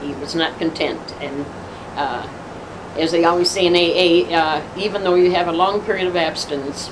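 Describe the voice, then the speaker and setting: Over noticeable background noise, a woman with an American accent speaks at a fairly quick pace, her pitch fairly low and her intonation fairly even. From Detroit, Michigan. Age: 70s. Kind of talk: interview answer.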